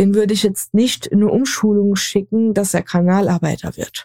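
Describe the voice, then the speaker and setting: In a Saarland accent, a woman speaks at a medium pitch with a dark, mellow tone and fairly even intonation. The sound is dry and close, with no echo. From Saarland, Germany. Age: 20s. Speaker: podcast co-host. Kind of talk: casual discussion.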